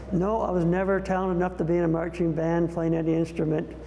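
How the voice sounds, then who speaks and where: With audible room echo and noticeable background noise, a man with a Northern Ontario accent talks fairly quickly at a fairly high pitch. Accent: Canadian English (Northern Ontario). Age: 60s. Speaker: community volunteer and business owner. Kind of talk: interview reminiscence. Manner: casual, conversational with some hesitations.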